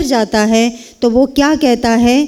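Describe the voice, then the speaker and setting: Speaking with a Kannada accent, a woman holds a high pitch and fairly even intonation. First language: Kannada (speaking Hindi). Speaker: Hindi professor. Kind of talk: speech at a university event.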